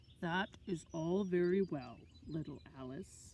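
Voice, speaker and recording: Putting on a character voice, a woman talks at a fairly slow pace with a fairly low pitch. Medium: read story. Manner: gentle, wise.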